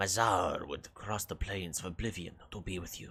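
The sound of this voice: Moderately paced, the speech comes in a put-on character voice that sounds raspy. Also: man, fairly low pitch for a man.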